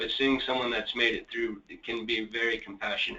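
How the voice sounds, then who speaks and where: At a moderate pace, the voice sounds shaky and keeps a fairly even intonation. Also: man. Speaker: young adult with lived experience. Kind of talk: personal testimony. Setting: webinar.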